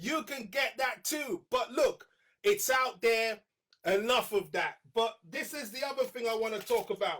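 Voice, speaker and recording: Loud, animated delivery with a bright, sharp tone, lively intonation and a fairly slow pace. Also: man, extremely high pitch for a man. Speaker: artist demonstrating sketching. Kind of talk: live art tutorial. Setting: live stream.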